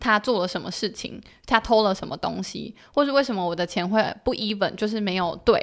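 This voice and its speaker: A woman with an unremarkable speaking voice and a fairly high pitch talks at a fairly quick pace, her pitch varying in an ordinary way. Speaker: former work-and-travel participant. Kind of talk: casual interview chat.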